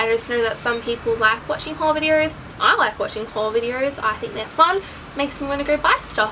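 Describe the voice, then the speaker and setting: Noticeable background noise runs under a woman who speaks at a moderate speed with ordinary pitch variation. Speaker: fashion vlogger. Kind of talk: casual vlog chat. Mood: bubbly, chatty. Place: home room. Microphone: camera far.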